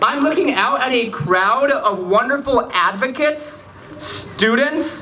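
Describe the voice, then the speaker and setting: A man with an American accent and an extremely high pitch projects his raised voice at a fairly slow pace, with audible room echo and noticeable background noise. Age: young. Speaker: student activist. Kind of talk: rally speech.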